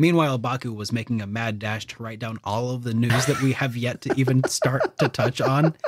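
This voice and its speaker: In an unremarkable speaking voice, a man of medium pitch talks at a fairly quick pace with fairly even intonation and hardly any pauses. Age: 30s. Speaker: gaming news podcast host. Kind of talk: casual chat.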